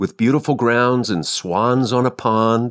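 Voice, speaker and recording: A man with an unremarkable speaking voice at medium pitch, fairly slow, over a quiet background. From Ohio, US Midwest. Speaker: actor. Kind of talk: interview.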